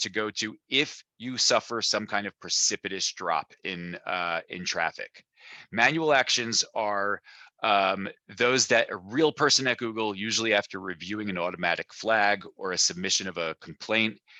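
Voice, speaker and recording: In a plain, everyday voice, a man speaks at a fairly low pitch with ordinary pitch variation, with a dry, close sound with no echo and a quiet background. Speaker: SEO strategist presenting a webinar. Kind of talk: webinar tutorial. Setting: online webinar with screen share.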